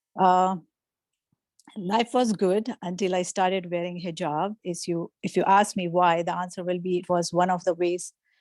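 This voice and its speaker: A woman's fairly low voice with a Pakistani accent at a moderate pace, dry and close with no echo, in a very clean recording over a silent background. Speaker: workshop speaker. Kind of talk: testimony. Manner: halting.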